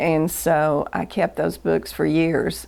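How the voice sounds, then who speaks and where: Someone speaks at a very slow pace with a Southern US accent. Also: woman. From US South, Chattanooga, Tennessee. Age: 70s. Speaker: interviewee recording life story. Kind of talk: oral history interview. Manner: halting.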